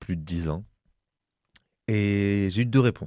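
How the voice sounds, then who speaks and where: A dark, mellow voice with ordinary pitch variation speaks at a very slow pace in a dry, close recording with no echo, very clean against a silent background. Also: man. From southwest France, Gers countryside. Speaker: interviewee telling life story. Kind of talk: personal testimony. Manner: halting, many repetitions and fillers.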